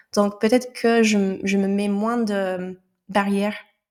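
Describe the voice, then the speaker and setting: On a very clean recording with a silent background, a woman speaks very slowly at a medium pitch in a monotone, flat way. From United States. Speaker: entrepreneur, business founder. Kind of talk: podcast interview answer.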